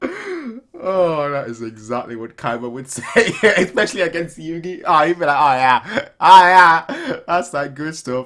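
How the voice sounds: A man speaks at a fairly slow pace with few pauses. His fairly high, fairly bright voice makes big pitch swings.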